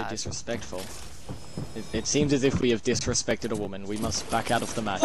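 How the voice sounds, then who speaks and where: The man's voice is dry and free of echo, with noticeable noise in the background. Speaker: streamer, gamer. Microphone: headset.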